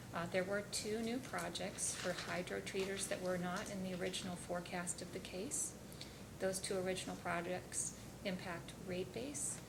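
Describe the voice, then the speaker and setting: A woman at medium pitch speaks quietly, with audible room echo and noticeable background noise. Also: moderate pace. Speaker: utility company witness. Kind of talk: testimony at regulatory hearing. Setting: hearing room. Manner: formal.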